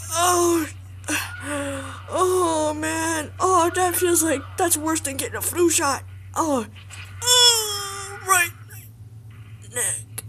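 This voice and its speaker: A put-on character voice at a very slow pace, with long, frequent pauses and clear background noise. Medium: dub. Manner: comedic, exasperated.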